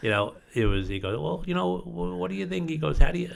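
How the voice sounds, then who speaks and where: Someone with an American accent speaks with very wide pitch swings. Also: man. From Long Island, New York. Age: 60s. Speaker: real estate company co-owner. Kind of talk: podcast interview. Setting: studio.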